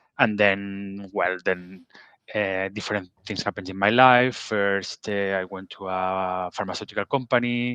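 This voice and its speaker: A man with a fairly low pitch and a bright, sharp tone talks at a fairly slow pace with fairly even intonation. The sound is dry and close with no echo, over a quiet background. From Catalonia, Spain (Barcelona). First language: Catalan or Spanish. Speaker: pharmaceutical bioprocess scientist. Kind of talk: interview. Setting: video call. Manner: halting, many fillers.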